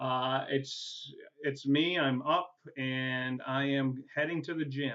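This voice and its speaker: At a very slow pace, a man speaks with monotone, flat intonation. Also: fairly high pitch for a man. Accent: New England. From New England. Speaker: adjunct professor. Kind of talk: course welcome video. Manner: casual, halting with many fillers.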